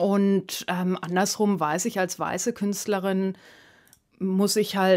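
Very slow speech from a woman with a fairly low pitch, on a very clean recording with a silent background. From Namibia, Swakopmund area. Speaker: artist. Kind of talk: radio interview. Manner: hesitant, many filler sounds.

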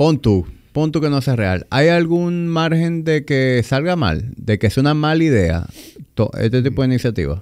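A man talks in an ordinary speaking voice, pitched fairly high, with lively intonation at a fairly slow pace. His loudness stays very even over a quiet background. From Dominican Republic. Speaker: podcast host. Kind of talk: interview. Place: studio. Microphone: studio mic.

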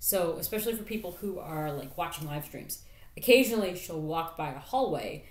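In a room with audible echo, a woman with a fairly low pitch speaks at a fairly quick pace with lively intonation. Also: big swings in loudness. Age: 30s. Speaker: YouTuber and streamer. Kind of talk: casual vlog. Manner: distracted, interrupting self.

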